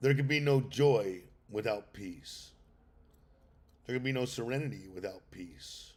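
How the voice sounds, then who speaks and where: A man speaks loudly at a fairly slow pace, with a medium pitch, lively intonation and long, frequent pauses. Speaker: recovery podcast host. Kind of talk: livestream talk on sobriety. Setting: outdoors on an island.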